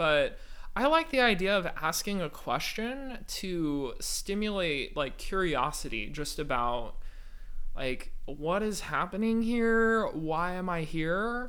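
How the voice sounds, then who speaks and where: A man speaks at a very slow pace with an American accent, his pitch high and swinging very widely. His tone is bright and sharp, and the room echo is audible. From Northern California (East Bay). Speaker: composer. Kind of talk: interview. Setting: living room with high ceilings.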